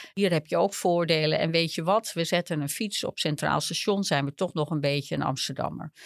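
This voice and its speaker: A woman's fairly low voice with lively intonation, dry and close with no echo, in a very clean recording against a silent background. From Netherlands, small village. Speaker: urban geographer. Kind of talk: interview. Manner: halting.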